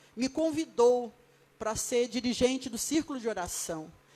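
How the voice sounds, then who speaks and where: Fairly slow speech from a woman, high in pitch with ordinary pitch variation, over noticeable background noise. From Brazil, Rio de Janeiro. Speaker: pastor. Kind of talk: sermon.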